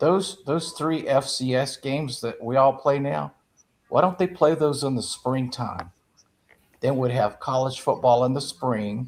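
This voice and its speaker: With a South Carolina accent, the speaker goes at a fairly slow pace and shows ordinary pitch variation. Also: man, medium pitch for a man. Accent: Southern US (South Carolina). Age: 70s. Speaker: sports talk panelist. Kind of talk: casual chat.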